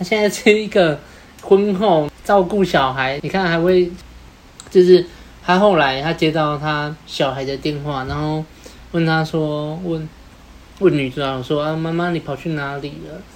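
The delivery is fairly slow, with long, frequent pauses. Noticeable background noise sits underneath. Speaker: podcast co-host. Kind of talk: casual chat.

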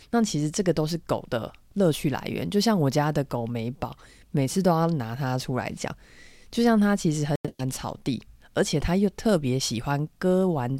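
On a very clean recording with a silent background, a woman speaks at a moderate pace. Her pitch is very deep and low, and her intonation is lively. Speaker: veterinarian podcast co-host. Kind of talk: casual chat.

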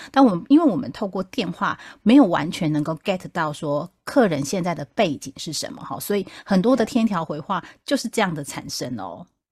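A woman talks at a moderate pace with hardly any pauses, her somewhat breathy voice making very wide pitch swings and big swings in loudness, on a very clean recording with a silent background. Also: medium pitch for a woman. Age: middle-aged. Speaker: podcast host, customer service veteran. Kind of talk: casual chat.

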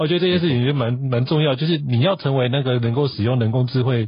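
A somewhat breathy man at a very fast pace with lively intonation. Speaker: podcast host. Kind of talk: interview.

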